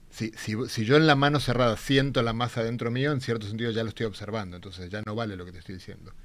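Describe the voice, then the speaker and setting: A man talks at a very fast pace with hardly any pauses, big swings in loudness, and ordinary pitch variation. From Argentina. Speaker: theoretical physicist; guest. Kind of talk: popular science explanation. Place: studio. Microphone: studio mic.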